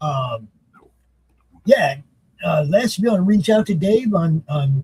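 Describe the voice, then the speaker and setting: Lively intonation and a dark, mellow tone mark this man's high voice, recorded with a dry, close sound and no echo. He speaks at a fairly slow pace. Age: 60s. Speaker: show co-host. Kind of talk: casual chat.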